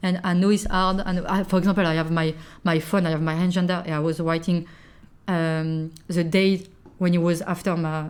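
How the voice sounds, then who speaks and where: A woman speaks with a French accent and a fairly low pitch. Her intonation is monotone and flat. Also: moderate pace. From France. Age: 20s. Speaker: podcast guest, working holiday maker. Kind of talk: casual chat. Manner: halting, searching for words.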